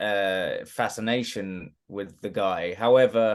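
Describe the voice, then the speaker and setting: A man speaks very slowly with a British accent. His intonation stays fairly even. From England, Watford. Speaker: actor. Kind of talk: interview. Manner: halting, many fillers and restarts.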